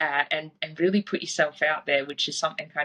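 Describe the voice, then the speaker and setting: A woman speaks with an Australian accent and a very deep, low pitch. Her tone is bright and sharp. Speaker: fitness coach. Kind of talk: podcast interview. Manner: casual.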